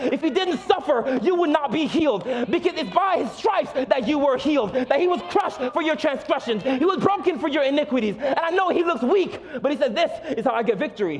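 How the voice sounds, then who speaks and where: Over noticeable background noise, a man with an American accent talks at a fairly quick pace in an extremely high pitch, his tone animated and his intonation lively. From South Florida. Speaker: pastor. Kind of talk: sermon. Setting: church stage with congregation.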